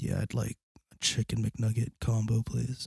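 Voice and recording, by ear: A raspy, put-on character voice from a man, medium in pitch, at a moderate pace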